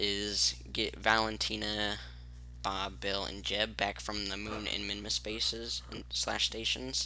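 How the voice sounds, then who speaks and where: Soft-spoken and at a fairly slow pace, a man with a very deep, low pitch and vocal fry uses very wide pitch swings and a bright, sharp tone. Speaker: gaming youtuber. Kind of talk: gameplay commentary. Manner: quiet, soft-spoken; casual, halting with fillers.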